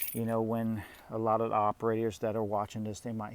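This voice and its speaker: This man's voice sits at a medium pitch. He speaks quietly. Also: very clean recording, silent background. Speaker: youtuber reviewing his mini excavator. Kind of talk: casual walkaround video. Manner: quiet talker; hesitant with many fillers.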